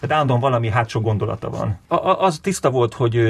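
A man speaks at a very fast pace with a medium pitch. Vocal fry runs through his voice. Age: 40s. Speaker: film director. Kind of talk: interview.

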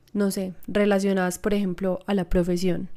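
Recorded very cleanly against a silent background, a woman with a plain, everyday voice speaks at a moderate pace and a medium pitch. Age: 20s. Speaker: podcast host. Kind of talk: personal reflection monologue.

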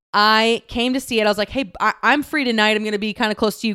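A woman with an American accent speaks at a fairly quick pace, her fairly high voice bright and sharp in a dry, close sound with no echo. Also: very clean recording, silent background. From Texas. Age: 30s. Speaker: podcast host. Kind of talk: casual solo monologue. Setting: recording on an air mattress at home.

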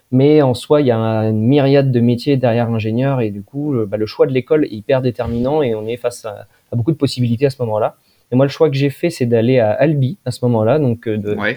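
Fairly even intonation marks this man's medium-pitched voice. He talks at a fairly quick pace. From France, Poitou (Poitiers). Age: 20s. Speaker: engineer and company director. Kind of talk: casual interview. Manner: hesitant, many repetitions.

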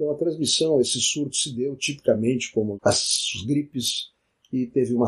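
Somewhat breathy and medium in pitch, a man talks with ordinary pitch variation. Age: 70s. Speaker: physician and science podcaster. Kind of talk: solo educational monologue.

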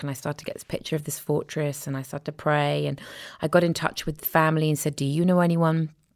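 With an English accent, the speaker talks at a very fast pace in a monotone, flat intonation, on a very clean recording with a silent background. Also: woman. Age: 40s. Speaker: filmmaker and author. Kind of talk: personal testimony in interview. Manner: hesitant, many fillers.

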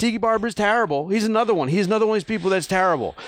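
On a very clean recording with a silent background, a man with an American accent speaks in an animated tone. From New Jersey, US. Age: 40s. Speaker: podcast host. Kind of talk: casual chat.

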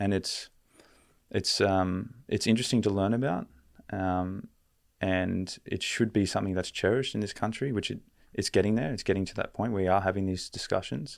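Fairly quick and fairly low in pitch, a man with an Australian accent speaks in a very clean recording with a silent background. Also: ordinary pitch variation. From Australia, Canberra. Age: 20s. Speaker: relationship mentor. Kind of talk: casual chat.

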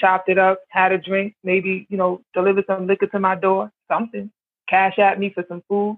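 With an American accent, a woman speaks at a fairly quick pace in a flat, monotone way. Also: medium pitch for a woman. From the Bronx, New York. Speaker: panel guest.

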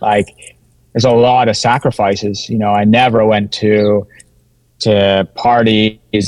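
A man with medium pitch, fairly even intonation and a Maritimes accent. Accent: Canadian English (Maritimes). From Canada, New Brunswick (Sussex area). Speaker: former pro cyclist and ultra trail runner. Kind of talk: casual interview chat. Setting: video call.

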